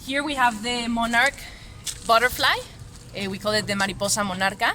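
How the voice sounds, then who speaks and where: Someone with a Spanish accent talks over noticeable background noise. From Mexico. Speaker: street artist. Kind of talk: interview. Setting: festival exhibition. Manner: halting, many fillers.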